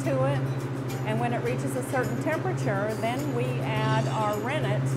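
Music plays behind a woman's voice. She speaks at a fairly slow pace. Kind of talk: interview answer. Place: factory. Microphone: lapel.

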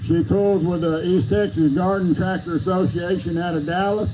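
Noticeable background noise sits behind the speaker. A man talks at a high pitch with ordinary variation. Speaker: event announcer. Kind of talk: live event commentary. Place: open country. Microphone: pa.

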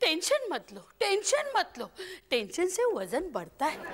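A woman puts on a cartoonish character voice with an extremely high pitch and a fairly bright tone. Her pitch swings very widely at a fairly slow pace.

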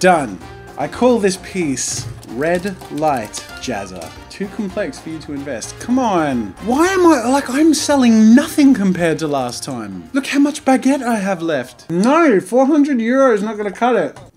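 A man talks at a fairly slow pace over faint background music. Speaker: gaming video creator. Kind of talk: let's play commentary. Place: home room.

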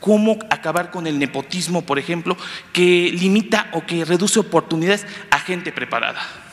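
A man speaks with a high voice at a moderate pace. His pitch varies an ordinary amount. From Campeche, Mexico. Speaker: journalist. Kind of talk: press conference question. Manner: formal. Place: hall. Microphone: handheld.

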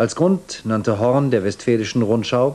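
A man talks with ordinary pitch variation at a medium pitch, keeping a moderate pace. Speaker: news presenter. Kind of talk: TV news broadcast reading. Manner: formal, measured. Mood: calm, formal, neutral. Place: studio. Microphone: lapel.

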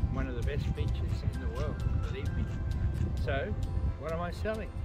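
Loud music plays in the background as a man speaks at a moderate pace. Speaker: real estate auctioneer. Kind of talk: real estate property tour, casual talk to camera. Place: waterside.

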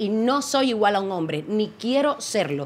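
This woman's voice has a fairly high pitch. Her tone is bright and sharp. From Cuba. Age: 40s. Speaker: actress. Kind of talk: talk show chat; talk show opinion, passionate. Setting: studio. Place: studio. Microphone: studio mic.

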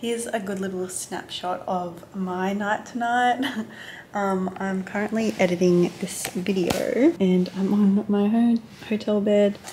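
In an Australian accent, a woman speaks fairly slowly with fairly even intonation over light background noise. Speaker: flight attendant. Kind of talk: casual vlog talk to camera. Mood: cheerful, relaxed. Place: home room. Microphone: phone near.

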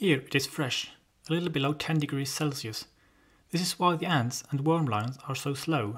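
A speaker with a non-native accent talks at a moderate pace. The recording is very clean, with a silent background. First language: not English. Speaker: amateur naturalist. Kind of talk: educational nature documentary narration.

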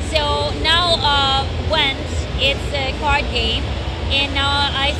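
Over music in the background, a woman speaks in a dry sound with no echo. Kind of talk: interview answer. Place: hall. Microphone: handheld.

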